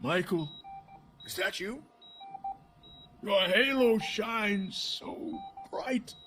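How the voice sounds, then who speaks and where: Using a put-on character voice, a man speaks at a high pitch with lively intonation. He goes very slowly, with long, frequent pauses. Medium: video game. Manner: shaky, dramatic.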